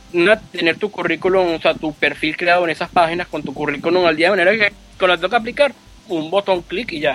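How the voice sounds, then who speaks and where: A man talks at a fairly quick pace with a Venezuelan accent. His pitch is high, with ordinary variation. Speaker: sysadmin. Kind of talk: casual interview.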